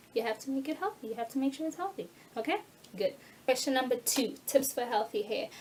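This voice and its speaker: A woman speaks in a high, animated voice at a very fast clip. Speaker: natural hair YouTuber. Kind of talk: tutorial.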